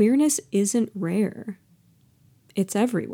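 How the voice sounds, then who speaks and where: With an American accent, a woman speaks in a dark, mellow tone and ordinary pitch variation on a very clean recording with a silent background. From Seattle area, Washington. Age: 30s. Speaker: podcast host and storyteller. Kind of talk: spoken word. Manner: measured, heartfelt, expressive.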